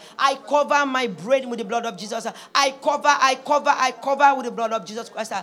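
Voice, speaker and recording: With a high pitch and ordinary pitch variation, a woman speaks in a raised, projected voice with an animated tone. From Nigeria. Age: 40s. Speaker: preacher. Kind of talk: sermon; spoken prayer. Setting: church.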